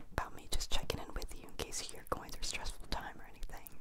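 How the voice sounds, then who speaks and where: A woman whispers softly. Her pace is very fast. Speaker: vlogger. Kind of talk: casual vlog chat. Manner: soft close-mic whisper. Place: home room. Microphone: handheld.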